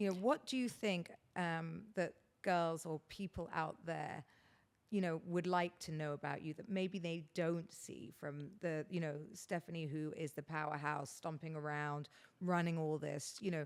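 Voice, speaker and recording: With a British accent, the speaker goes at a fairly slow pace, using ordinary pitch variation. The recording is very clean, and the background is silent. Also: woman, fairly low pitch for a woman. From England. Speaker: podcast host. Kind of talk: casual chat. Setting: guest's house.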